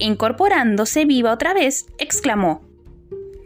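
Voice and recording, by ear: In a natural voice, someone reads aloud.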